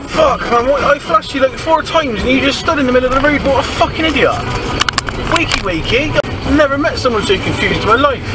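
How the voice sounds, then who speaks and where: Over loud background noise, someone with a Bristol accent talks at a very fast pace. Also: man. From Bristol, England. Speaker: driver commenting on other drivers. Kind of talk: casual dash cam commentary. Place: car.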